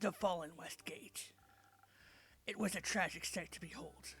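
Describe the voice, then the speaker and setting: A put-on character voice, raspy and middle-pitched, at a moderate pace. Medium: game stream. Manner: terse, solemn.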